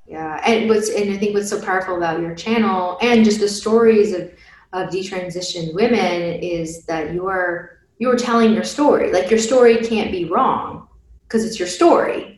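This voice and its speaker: A woman at a moderate pace in an ordinary speaking voice, with medium pitch and ordinary pitch variation. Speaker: podcast host. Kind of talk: interview.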